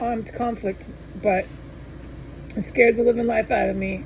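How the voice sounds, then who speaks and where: Over noticeable background noise, a woman talks at a moderate pace and a fairly high pitch. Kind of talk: monologue report to camera. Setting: indoors at home. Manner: slurred, halting speech; stuttering restarts.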